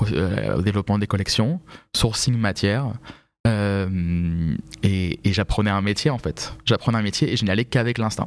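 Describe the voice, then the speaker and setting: A man with an unremarkable speaking voice and fairly low pitch talks at a moderate pace. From Paris region (Vincennes), France. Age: 30s. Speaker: fashion professional. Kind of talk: podcast interview.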